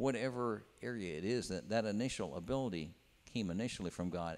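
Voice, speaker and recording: A man's voice at a fairly quick pace. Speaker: preacher. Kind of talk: sermon. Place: church. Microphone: handheld.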